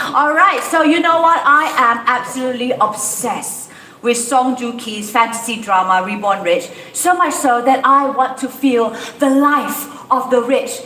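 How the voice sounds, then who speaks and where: Against noticeable background noise and audible room echo, a woman with a high pitch speaks at a fairly slow pace. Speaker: event host. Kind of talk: live event presenting. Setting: outdoor event venue. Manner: animated.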